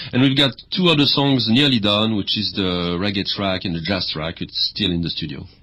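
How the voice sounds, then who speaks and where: A man talks at a fairly quick pace with lively intonation and a fairly low pitch. He speaks with a strong French accent. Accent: heavy French. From France. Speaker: music project founder and performer. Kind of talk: radio interview. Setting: radio studio.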